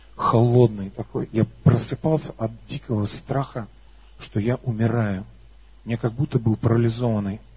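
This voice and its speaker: A man with medium pitch talks at a moderate pace, his pitch varying in an ordinary way. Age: 30s. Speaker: worship leader and preacher. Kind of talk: sermon with personal testimony. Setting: church service with congregation. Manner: animated.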